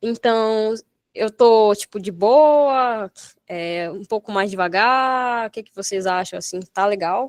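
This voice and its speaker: Big swings in loudness from a woman, fairly high in pitch, with ordinary pitch variation. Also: dry, close sound with no echo. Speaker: programming instructor. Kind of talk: online coding workshop lesson. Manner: fast; animated.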